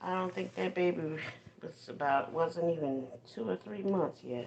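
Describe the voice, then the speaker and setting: A soft-spoken woman with lively intonation. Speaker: livestream host. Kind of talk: casual livestream chat. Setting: phone livestream while folding laundry. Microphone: phone mic.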